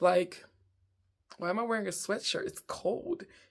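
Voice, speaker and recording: The speaker uses ordinary pitch variation. The pace is moderate. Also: woman. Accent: American. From Southern United States. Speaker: comedian. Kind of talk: casual storytelling to camera. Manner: upbeat, high-energy.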